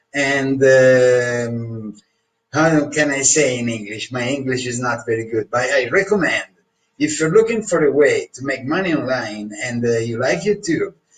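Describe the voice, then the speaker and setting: In a strong Italian accent, a man speaks at a fairly slow pace with medium pitch and ordinary pitch variation. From Italy. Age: 60s. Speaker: course customer reviewer. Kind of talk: testimonial review. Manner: hesitant, many fillers.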